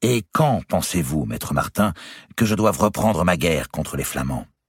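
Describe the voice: A put-on character voice with a slightly husky edge, lively intonation and a fairly slow pace. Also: man, low pitch for a man.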